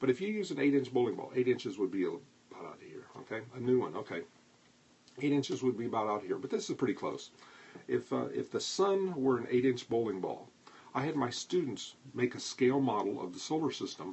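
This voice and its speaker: With vocal fry and a medium pitch, a man speaks in very wide pitch swings and big jumps in loudness. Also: fairly quick pace. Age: 70s. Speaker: astronomy educator, livestream host. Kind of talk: live-streamed lecture with viewer chat. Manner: conversational.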